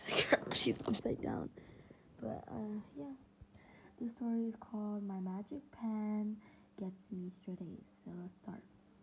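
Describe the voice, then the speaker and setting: Over noticeable background noise, a woman at a medium pitch speaks at a fairly slow pace, with ordinary pitch variation and long, frequent pauses. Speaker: reaction youtuber. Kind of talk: casual reaction commentary.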